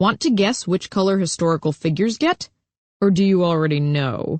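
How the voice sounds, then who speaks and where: At a middle pitch, a put-on character voice moves along at a fairly quick pace. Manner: deliberate.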